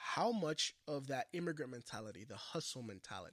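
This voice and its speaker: A man speaks at a fairly high pitch with vocal fry. His pitch swings very widely. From Puerto Rico. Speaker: podcast host. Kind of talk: podcast interview.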